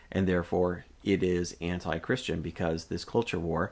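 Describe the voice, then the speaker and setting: Here is a man with a Canadian accent and a very deep, low pitch. His intonation stays fairly even in a very clean recording with a silent background. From Canada. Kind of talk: solo commentary monologue. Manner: hesitant with many fillers.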